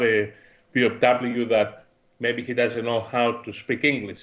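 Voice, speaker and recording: In a Greek accent, a man speaks at a medium pitch. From Greece. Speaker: podcast co-host, think tank executive. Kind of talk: casual discussion podcast.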